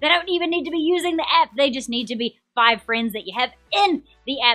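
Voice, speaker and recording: A woman with a New Zealand accent projects her high-pitched voice. Her intonation is lively, with music playing in the background. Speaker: game show host. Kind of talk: live-stream quiz hosting. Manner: animated; fast.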